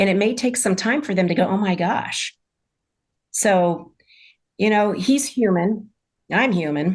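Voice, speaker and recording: Somewhat breathy, a woman speaks at a fairly slow pace with very even loudness, ordinary pitch variation and long, frequent pauses. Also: medium pitch for a woman. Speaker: medium. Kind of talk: casual chat.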